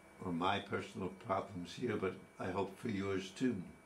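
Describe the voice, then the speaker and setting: Speaking very slowly with ordinary pitch variation, a man is heard with audible room echo and noticeable background noise. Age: 80s+. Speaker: retired teacher sharing his cancer experience. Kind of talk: personal monologue. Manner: halting.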